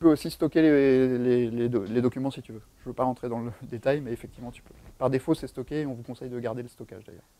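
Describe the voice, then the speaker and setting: A man with a dark, mellow tone rushes along at a very fast pace, his intonation fairly even but his loudness swinging widely, in a dry recording with no echo. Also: medium pitch for a man. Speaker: software developer advocate giving a tech talk; conference presenter. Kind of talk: tech talk with live demo. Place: meeting room.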